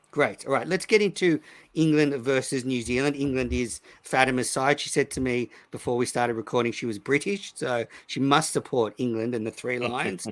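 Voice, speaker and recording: On a very clean recording with a silent background, a man with an Australian accent talks fairly quickly at a medium pitch with ordinary pitch variation. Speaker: cricket podcast host. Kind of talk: casual chat. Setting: live stream recording.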